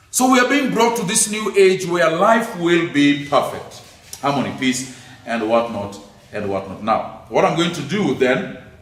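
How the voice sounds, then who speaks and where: With noticeable background noise and audible room echo, a man speaks fairly slowly in a high voice with very wide pitch swings. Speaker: lecturer on theology. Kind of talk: lecture.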